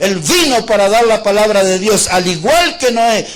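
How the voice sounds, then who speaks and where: Over noticeable background noise, a man with a high pitch speaks at a moderate pace with lively intonation. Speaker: preacher. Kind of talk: sermon.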